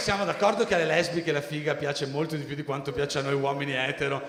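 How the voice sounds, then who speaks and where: A man with a Venetian accent talks very fast in a fairly high pitch, hardly pausing at all. Crowd noise fills the background, and the room echo is audible. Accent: Venetian Italian. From Albanian family, raised in Veneto. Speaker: stand-up comedian and MC. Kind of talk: stand-up. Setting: stage with audience.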